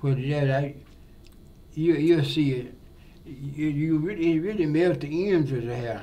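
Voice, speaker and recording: Audible room echo surrounds a man with a fairly high pitch and a dark, mellow tone who speaks at a moderate pace with ordinary pitch variation. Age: 80s+. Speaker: barber. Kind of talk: interview. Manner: halting.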